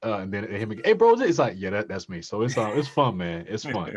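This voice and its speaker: Lively intonation colors a normal speaking voice. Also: man. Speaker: voice actor. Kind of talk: interview answer. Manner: casual, conversational.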